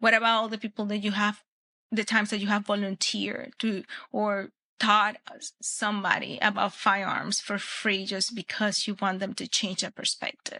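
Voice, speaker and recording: In a Spanish accent, the voice sounds bright and sharp with monotone, flat intonation, dry and close with no echo over a quiet background. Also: woman, medium pitch for a woman, moderate pace. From Venezuela. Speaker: Olympic shooter and firearms instructor. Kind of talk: podcast interview. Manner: halting with frequent fillers and restarts.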